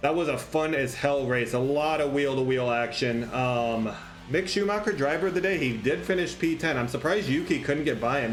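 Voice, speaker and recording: A man with a fairly high pitch and lively intonation speaks at a fairly quick pace with hardly any pauses and very even loudness. Audible room echo and noticeable background noise surround him. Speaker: gaming youtuber. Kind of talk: live gameplay commentary. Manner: animated.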